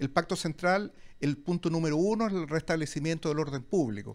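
A man's fairly high voice with lively intonation at a moderate pace. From Chile. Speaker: lawyer and digital media director, debater; panelist. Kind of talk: public debate. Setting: restaurant with live audience. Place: cafe. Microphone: handheld.

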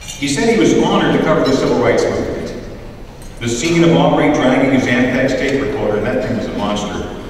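Amid strong room echo and light background noise, a man talks very fast with ordinary pitch variation. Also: medium pitch for a man. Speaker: radio host. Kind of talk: award ceremony speech. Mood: admiring, anecdotal. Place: hall.

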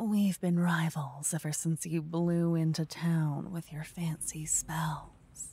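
A woman speaks quietly at a very slow pace with hardly any pauses, her fairly low voice somewhat breathy and dark, mellow in tone, soothing and playful, in dry sound with no echo. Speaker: ASMR roleplay performer. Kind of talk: whispered ASMR roleplay, intimate close-mic tone. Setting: binaural microphone recording, listener addressed in second person. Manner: hushed, slow, soothing and tender, with playful teasing warmth; cocky, teasing, animated in the adventure scenes. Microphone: studio mic.

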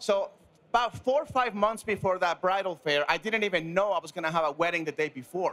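A man is talking. The tone of his voice is bright and sharp. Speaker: panelist. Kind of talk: panel discussion anecdote. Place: studio. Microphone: handheld.

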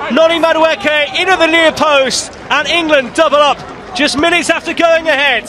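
A man's raised, projected voice sits at an extremely high pitch, animated in tone and very even in loudness, with noticeable background noise behind it. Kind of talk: sports commentary, live play-by-play. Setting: match commentary. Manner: fast, fluent, and animated, calling each pass as it happens.

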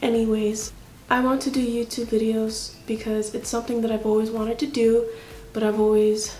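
A woman with a fairly high pitch talks at a moderate pace in monotone, flat intonation. There is audible room echo and light background noise. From Hawaii. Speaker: YouTuber. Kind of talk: casual vlog to camera. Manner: halting. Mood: nervous, self-reflective. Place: home room. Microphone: phone near.

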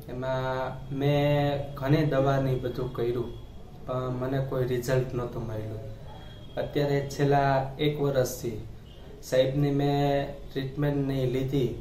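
A man's monotone, flat delivery with audible room echo and light background noise. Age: 30s. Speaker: patient. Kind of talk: testimony. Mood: calm, grateful. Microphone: camera far.

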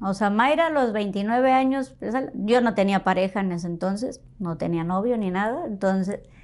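Here is a woman with an unremarkable speaking voice. It sits fairly high, moves at a fairly slow pace and has ordinary pitch variation. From Matamoros, Tamaulipas, northern Mexico; Tamaulipas, Mexico. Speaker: foundation co-founder; guest. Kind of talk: interview. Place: studio. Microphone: lapel.

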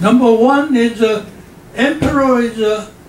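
Very slowly and at an extremely high pitch, a man talks with ordinary pitch variation, amid audible room echo and light background noise. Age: 80s+. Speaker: professor. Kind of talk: lecture to an audience. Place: hall.

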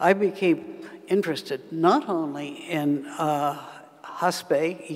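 Her intonation stays fairly even as the woman speaks. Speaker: keynote lecturer. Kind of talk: lecture. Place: hall. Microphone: podium.

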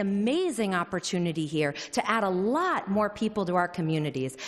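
A woman speaks at a moderate pace. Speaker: housing advocacy director. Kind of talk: public comment speech at hearing. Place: hall. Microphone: podium.

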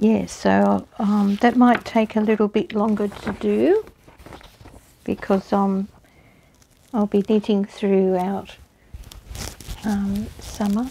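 Speech comes at a very slow pace in an Australian accent, with long, frequent pauses. The intonation stays monotone and flat over light background noise. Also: woman. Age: 60s. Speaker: knitting and crochet hobbyist. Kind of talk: casual talk to camera. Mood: warm, relaxed, chatty. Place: home room. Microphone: lapel.

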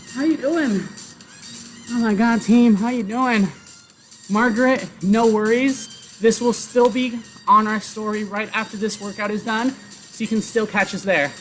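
With music in the background, the speaker goes at a fairly slow pace. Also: man, high pitch for a man. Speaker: fitness instructor. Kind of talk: live workout instruction. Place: garden.

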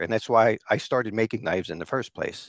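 Against a quiet background, a man talks at a fairly quick pace with a dry sound and no echo. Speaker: remote guest. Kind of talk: interview answer. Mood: relaxed, friendly. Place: home room. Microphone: headset.

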